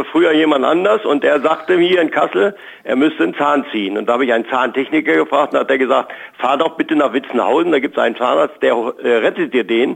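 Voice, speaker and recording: Talking very fast, a man uses a fairly high pitch, lively intonation, very even loudness and vocal fry. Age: 70s. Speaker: listener caller. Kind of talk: phone interview. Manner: cheerful.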